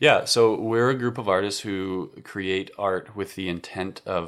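A man with an American accent speaks at a fairly slow pace in a very deep, low voice with ordinary pitch variation. The recording is very clean and the background silent. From Colorado, Fort Collins. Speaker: high school orchestra teacher. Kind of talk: casual chat.

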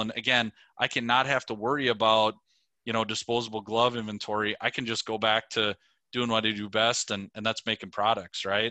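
In a bright, sharp tone and a medium pitch, a man speaks at a fairly quick pace with monotone, flat intonation, in a dry, close sound with no echo over a quiet background. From Minnesota, Twin Cities suburb. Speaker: safety products sales director. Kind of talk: interview. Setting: video call.

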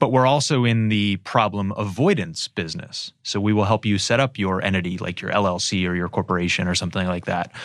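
A man with an American accent, a normal speaking voice, fairly low pitch and fairly quick pace, on a very clean recording with a silent background. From Erie, Pennsylvania. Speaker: business lawyer, law firm founder. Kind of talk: interview.

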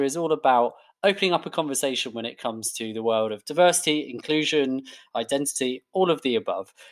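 A man with a British accent speaks at a fairly quick pace with lively intonation. The recording is very clean, with a silent background. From UK, Indian heritage. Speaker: podcast host. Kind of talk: interview.

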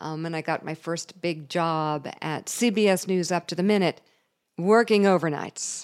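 A woman's fairly low voice, a normal speaking voice, with ordinary pitch variation and a fairly slow pace, on a very clean recording with a silent background. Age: 50s. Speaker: podcast host and TV journalist. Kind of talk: personal monologue.

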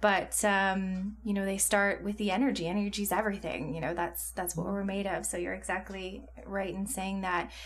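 At a moderate pace, a woman with a medium-pitched, somewhat breathy voice speaks with fairly even intonation. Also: hardly any pauses. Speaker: podcast host. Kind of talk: casual interview.

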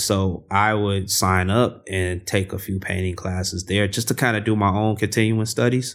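With an American accent, a man in a very clean recording with a silent background has a plain, everyday voice, a fairly low pitch, fairly even intonation and a moderate pace. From US Midwest, South Side of Chicago. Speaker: artist and muralist. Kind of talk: casual interview. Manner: relaxed, many fillers and repetitions.

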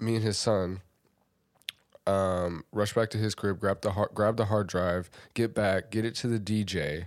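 A man with a fairly low voice and an American accent speaks at a fairly slow pace with fairly even intonation, on a very clean recording with a silent background. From Lincoln, Nebraska. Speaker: rapper and entrepreneur. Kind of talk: casual chat.

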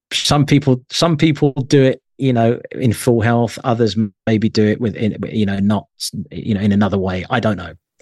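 A man speaks at a moderate pace with an English accent. The sound is dry and close, with no echo. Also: medium pitch for a man, ordinary pitch variation. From England (London, Isle of Wight). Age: 50s. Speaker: music journalist and magazine editor. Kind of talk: casual interview.

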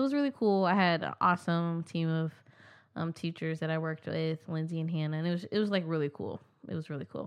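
Talking very fast, a woman with an American accent uses a fairly low pitch. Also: ordinary pitch variation. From Kansas City, Missouri. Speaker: kindergarten teacher. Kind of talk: casual chat. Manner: animated.

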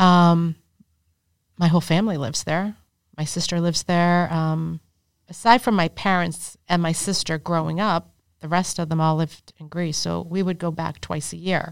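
A woman's fairly low voice, an ordinary speaking voice, with fairly even intonation and a moderate pace on a very clean recording with a silent background. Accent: American. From Arlington, Massachusetts. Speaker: real estate developer. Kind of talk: casual interview. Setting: studio.

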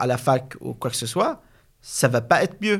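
On a very clean recording with a silent background, a man speaks at a moderate pace in a somewhat breathy voice. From Syria. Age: 20s. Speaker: business school student. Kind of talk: interview. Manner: halting.

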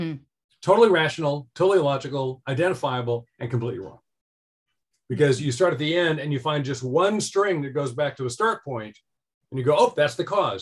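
This man's voice sits fairly high and sounds somewhat breathy. He moves at a fairly quick clip with lively intonation. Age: 60s. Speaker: author and life design educator. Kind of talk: interview conversation.

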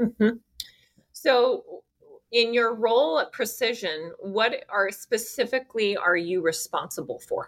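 This woman has a plain, everyday voice, pitched fairly high. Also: ordinary pitch variation, fairly slow pace. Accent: American. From US West Coast, California Bay Area. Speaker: podcast host. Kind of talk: interview; scripted outro.

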